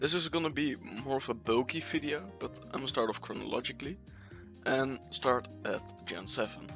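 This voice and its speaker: With music behind him, a man's intonation stays lively. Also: medium pitch for a man. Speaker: Pokemon competitive video creator. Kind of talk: casual gaming commentary. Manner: fast.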